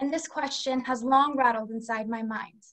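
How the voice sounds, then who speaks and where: A woman's high voice at a moderate pace, fairly even in intonation, against a quiet background. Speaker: presenter. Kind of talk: prepared speech. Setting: video call. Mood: earnest, reflective. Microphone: video call.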